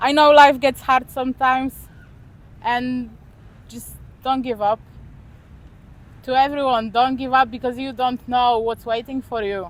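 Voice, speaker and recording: With a high pitch and flat, monotone intonation, a woman speaks fairly slowly, leaving long, frequent pauses and swinging widely in loudness. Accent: Polish. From Poland. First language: Polish. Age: 20s. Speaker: expat interviewee. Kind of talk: interview.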